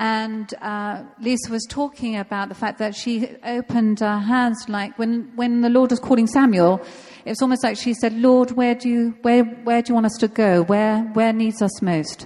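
Against noticeable background noise, a woman with a fairly high pitch speaks at a moderate pace with fairly even intonation and hardly any pauses. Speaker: church pastor. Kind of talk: prayer and welcome introduction. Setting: church.

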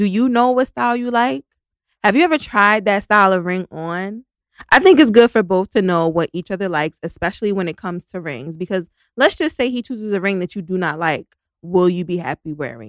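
Recorded very cleanly against a silent background with a dry, close sound and no echo, a woman with a plain, everyday voice speaks at a medium pitch and a fairly quick pace with lively intonation. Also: big swings in loudness. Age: 30s. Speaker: podcast co-host. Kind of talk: casual chat.

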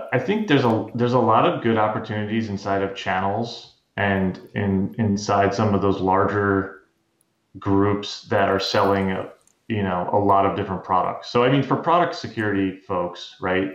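At a moderate pace, a man with a normal speaking voice talks fairly low in pitch with ordinary pitch variation. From US, moved around. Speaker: cybersecurity executive. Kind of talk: interview.

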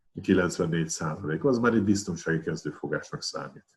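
Here is a man with a plain, everyday voice. He speaks at a fairly slow pace with lively intonation. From Hungary, Pécs. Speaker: retired weightlifting champion and coach. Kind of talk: casual interview.

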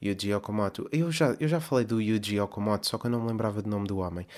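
In a European Portuguese accent, a man speaks at a fairly low pitch on a very clean recording with a silent background. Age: 30s. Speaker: podcast host. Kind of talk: casual monologue. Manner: rambling, filler-heavy.

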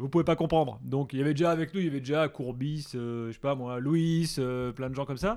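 A normal speaking voice from a man, fairly high in pitch with ordinary pitch variation and hardly any pauses, on a very clean recording with a silent background. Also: fairly quick pace. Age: 40s. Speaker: football radio show host. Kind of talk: casual interview.

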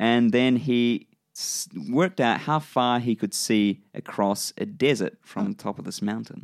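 With a New Zealand accent, a man speaks at a fairly slow pace in a medium pitch with lively intonation, the very clean recording sounding dry and close with no echo and a silent background. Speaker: podcast host. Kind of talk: casual chat. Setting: studio.

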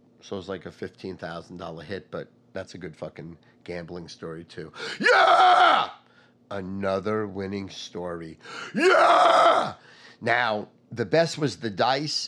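Over noticeable background noise, a man with an American accent speaks at a fairly slow pace in an animated tone with big swings in loudness. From New York, Long Island. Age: 50s. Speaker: sports betting podcast host. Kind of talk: casual monologue.

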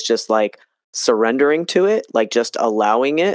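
A man speaks at a moderate pace in an unremarkable speaking voice, the sound dry and close with no echo. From New Jersey. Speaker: podcast host and health coach. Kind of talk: casual interview chat.

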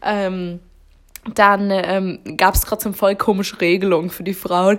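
A woman's medium-pitched voice, fairly slow and monotone with flat intonation, on a very clean recording with a silent background. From Baden-Württemberg, Germany. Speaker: podcast co-host. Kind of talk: casual chat.

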